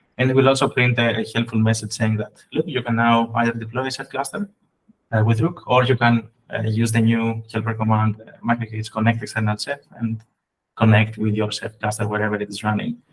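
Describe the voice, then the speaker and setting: A man with a medium pitch speaks at a fairly quick pace in a somewhat breathy voice, his intonation monotone and flat. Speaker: software engineer presenting. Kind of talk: technical presentation. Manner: fast.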